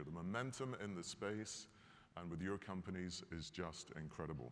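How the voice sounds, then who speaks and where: This is a man with a Scottish accent. His pitch varies in an ordinary way. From Scotland. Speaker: company executive. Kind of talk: keynote speech. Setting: stage with audience. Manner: animated.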